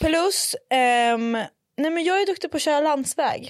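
A woman with a slight northern Swedish accent speaks with lively intonation. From northern Sweden, Umeå. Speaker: podcast host. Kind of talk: casual chat. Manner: animated, mixes in English.

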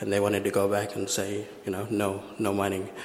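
A man with a fairly low voice speaks in a flat monotone at a moderate pace, with noticeable background noise and audible room echo. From Western Australia, Broome and Western Desert. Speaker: filmmaker and video artist. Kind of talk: conference presentation.

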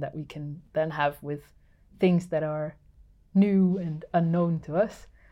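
A woman's very deep, low pitch with a Dutch accent, fairly even intonation and a moderate pace. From Netherlands. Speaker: sound artist and instrument builder. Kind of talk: casual interview. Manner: halting, many fillers.

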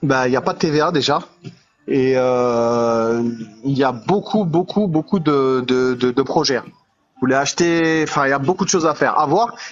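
Here is a plain, everyday voice with ordinary pitch variation. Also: man. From Île-de-France. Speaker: live stream viewer joining on air. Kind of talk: casual chat.

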